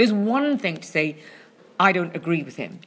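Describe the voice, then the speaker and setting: In a Scottish accent, a woman speaks at medium pitch with very wide pitch swings. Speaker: comedy critic. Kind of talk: casual chat. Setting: venue with loud drumming in background.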